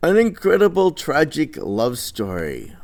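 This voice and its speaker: In a very clean recording with a silent background, a man's voice swings very widely in pitch, with vocal fry. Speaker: teacher. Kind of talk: lecture. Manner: halting.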